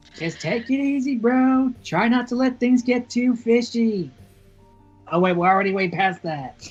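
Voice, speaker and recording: Faint music plays behind a put-on, female-sounding character voice. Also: fairly high pitch for a woman, moderate pace. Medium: actual play. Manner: casual, slangy.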